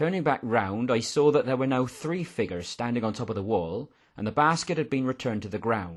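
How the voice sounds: Reading in a natural voice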